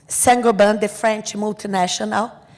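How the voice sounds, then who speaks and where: A woman speaks with a Brazilian Portuguese accent. Her pitch is fairly high. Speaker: asbestos victims' advocate. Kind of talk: conference talk. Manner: halting.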